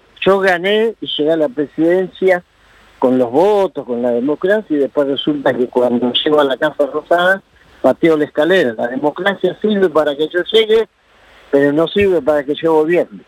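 A man's fairly high voice at a moderate pace, lively in intonation, an unremarkable speaking voice. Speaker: union leader. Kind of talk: interview.

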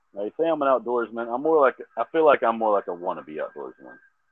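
A man in a Texan accent at a fairly quick pace. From Texas. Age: 30s. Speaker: fitness trainer. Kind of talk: casual chat.

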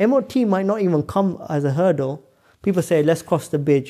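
A man talks with a London accent in a dark, mellow tone. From northwest London. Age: 30s. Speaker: scientist and entrepreneur. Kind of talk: interview conversation.

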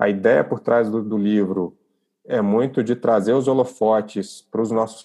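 The man's voice is fairly low, with a dark, mellow tone and fairly even intonation. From Brazil, Brasília. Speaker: online community founder, customer experience professional. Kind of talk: podcast interview.

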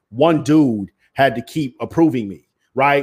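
A man's normal speaking voice at a medium pitch, with lively intonation, on a very clean recording against a silent background. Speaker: media entrepreneur. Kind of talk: casual interview chat.

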